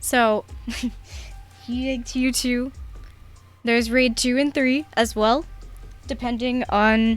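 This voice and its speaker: A woman at a fairly high pitch with fairly even intonation, music in the background. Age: 20s. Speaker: video game streamer. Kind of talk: casual live stream chat. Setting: live stream.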